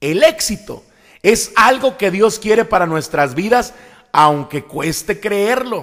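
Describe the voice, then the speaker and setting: The pitch swings very widely while the pace stays very slow. The recording is very clean, with a silent background. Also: man, high pitch for a man. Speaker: evangelical pastor and preacher. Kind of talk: sermon-style preaching / teaching.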